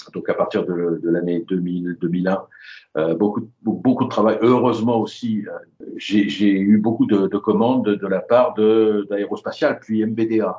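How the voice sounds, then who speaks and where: A man talks at a very slow pace. His pitch is fairly low with ordinary variation. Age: 70s. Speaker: aviation illustrator. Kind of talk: interview. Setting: phone call. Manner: halting, repeats words. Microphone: phone line, lower audio quality.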